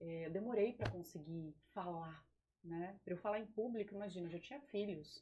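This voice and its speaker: A woman speaks at a medium pitch and a moderate pace. Her voice is somewhat breathy, with ordinary pitch variation. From Vale do Paraíba, São Paulo state, Brazil. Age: 30s. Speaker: biologist and environmental project manager. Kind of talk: casual interview chat.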